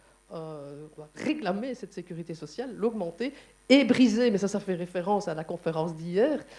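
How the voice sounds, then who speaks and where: Speaking with a Liège accent, a woman uses lively intonation and a dark, mellow tone. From Belgium, Liège. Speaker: conference moderator and trade unionist. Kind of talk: panel discussion at a conference. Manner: hesitant, many fillers.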